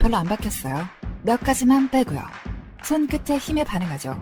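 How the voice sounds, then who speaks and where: Playful woman's voice at a moderate pace, with very wide pitch swings and music in the background. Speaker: voice actor. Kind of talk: TV commercial read. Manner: casual, playful.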